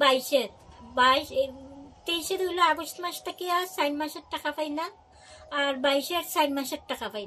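Raising and projecting her high, bright, sharp voice with ordinary pitch variation, a woman is heard over light background noise. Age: 50s. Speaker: blind welfare recipient interviewed by news; news interviewee. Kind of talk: news interview testimony. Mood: complaining, aggrieved. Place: home room. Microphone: phone near.

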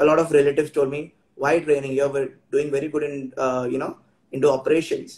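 A man speaks in a monotone with flat intonation. His pitch is fairly high and his voice somewhat breathy. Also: fairly quick pace. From India. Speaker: travel and tourism trainer; tourism trainer. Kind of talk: interview. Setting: Instagram live video call. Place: home room.

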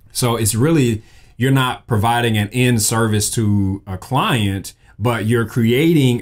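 Against a quiet background, the speaker talks at a fairly slow pace in a Southern US accent, with ordinary pitch variation. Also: man. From Mississippi, US South. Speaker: graphic designer and podcast host; creator. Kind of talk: casual solo talk. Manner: animated. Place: studio.

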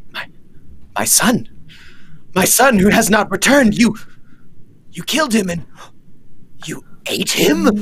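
Speaking at a fairly slow pace in a put-on character voice, this fairly high-pitched speaker leaves long, frequent pauses. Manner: frantic, paranoid; grief-stricken, vengeful.

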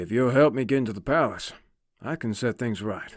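Doing a put-on character voice, a man talks at a fairly quick pace with a medium pitch on a very clean recording with a silent background. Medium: audio drama.

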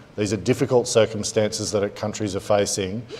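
A man of medium pitch speaks with an Australian accent and fairly even intonation. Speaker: trade diplomat; panelist. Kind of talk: panel discussion. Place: hall. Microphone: lapel.

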